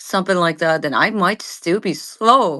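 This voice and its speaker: The speaker uses a Japanese accent at a moderate pace. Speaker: vtuber streamer. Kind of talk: casual chat. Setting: live audio space. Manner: halting.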